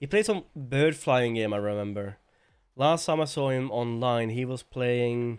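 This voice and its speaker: Mumbling at a fairly slow pace, a man of medium pitch speaks with a Norwegian accent and ordinary pitch variation. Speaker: streamer. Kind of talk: casual livestream chat. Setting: live stream.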